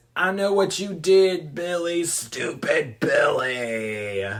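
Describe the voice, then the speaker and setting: A man does a put-on character voice at a high pitch and a very slow pace. Audible echo surrounds his speech. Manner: menacing, taunting.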